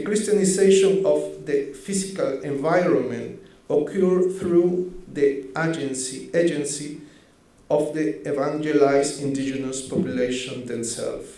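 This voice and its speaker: A man's fairly high voice with ordinary pitch variation, a fairly slow pace and audible room echo. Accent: Spanish. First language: Spanish. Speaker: researcher. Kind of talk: conference presentation. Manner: halting, self-correcting.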